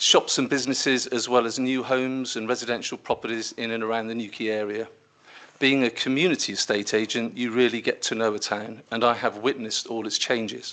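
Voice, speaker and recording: With a bright, sharp tone, a man talks at a fairly quick pace and a medium pitch in monotone, flat intonation. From Cotswolds, England, then Cornwall from teens. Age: 60s. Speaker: council candidate, businessman. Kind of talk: prepared candidate statement. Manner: formal.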